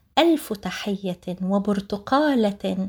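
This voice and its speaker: Speaking at a very slow pace, a woman moves her voice through very wide pitch swings. The rises and falls are large throughout. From Palestine, Jaffa. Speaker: podcast host and writer. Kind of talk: formal podcast presentation. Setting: remote interview. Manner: formal.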